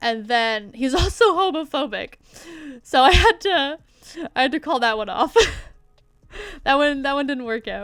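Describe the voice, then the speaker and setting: A woman with a high voice swings her pitch very widely at a moderate pace, with long, frequent pauses. The recording is very clean, with a silent background. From Canada. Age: 20s. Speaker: streamer and artist. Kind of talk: casual chat. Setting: livestream.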